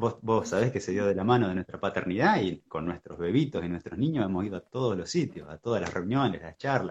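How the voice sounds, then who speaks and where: With an ordinary speaking voice, a man talks at a fairly quick pace with hardly any pauses, fairly low in pitch and with lively intonation. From Argentina, Buenos Aires province (Coronel Suárez). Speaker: cannabis activist and shop owner. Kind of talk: podcast interview.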